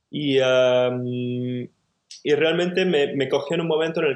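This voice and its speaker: A man's ordinary speaking voice, fairly high in pitch, with ordinary pitch variation at a moderate pace. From Barcelona, Catalonia, Spain. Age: 30s. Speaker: cabinetmaker and woodworking teacher. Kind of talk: casual interview conversation.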